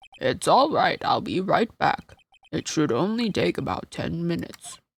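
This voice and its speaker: Here a man performs a put-on character voice. He holds a moderate pace. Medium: virtual streamer.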